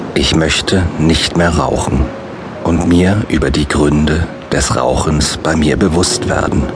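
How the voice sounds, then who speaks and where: A man speaks very slowly at a very deep, low pitch, with ordinary pitch variation and a calm, soothing tone. His loudness stays very even against noticeable background noise. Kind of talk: guided meditation with affirmations. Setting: studio audiobook recording. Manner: slow, calm, soothing; repetitive, measured, with long pauses.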